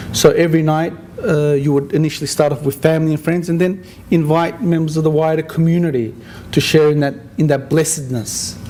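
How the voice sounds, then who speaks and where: Over noticeable background noise, a man with an Australian accent speaks at a fairly quick pace with a fairly high pitch and fairly even intonation. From Australia (Sydney). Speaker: interfaith community organizer. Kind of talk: after-dinner speech. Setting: dinner event with audience, at microphone. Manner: halting, with frequent repetitions.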